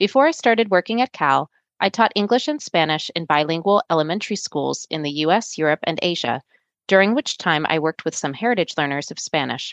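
Against a quiet background, a woman with a plain, everyday voice speaks with lively intonation. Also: dry, close sound with no echo. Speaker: podcast co-host, language researcher. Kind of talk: scripted narration. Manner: formal.

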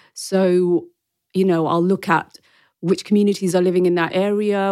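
A woman with a London accent, medium pitch and moderate pace, on a very clean recording against a silent background. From London, Wembley (Brent). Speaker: historian and PR professional. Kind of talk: interview conversation. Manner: animated.

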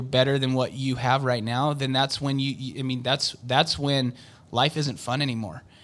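A man speaks at a fairly slow pace with a Western US accent and fairly even intonation. The recording is very clean, with a silent background. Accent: American, Western US. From Utah. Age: 40s. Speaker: door-to-door sales manager. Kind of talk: interview.

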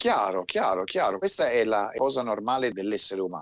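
A man talks at a fairly quick pace in an ordinary speaking voice with a medium pitch. The sound is dry and close, without echo. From Turin, northern Italy. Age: 40s. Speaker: military veteran. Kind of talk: interview.

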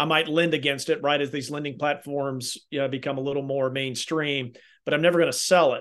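Against a quiet background, a man with a Southern US accent speaks at a fairly quick pace. His pitch is fairly high and his intonation monotone and flat. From Kentucky. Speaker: healthcare technology consultant. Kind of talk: casual chat.

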